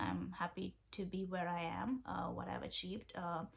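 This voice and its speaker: Speaking in an Indian accent, a woman uses a fairly low, somewhat breathy voice with fairly even intonation at a moderate pace. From India, Kerala. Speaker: vlogger, PhD researcher. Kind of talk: casual vlog talk to camera. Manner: halting, many fillers.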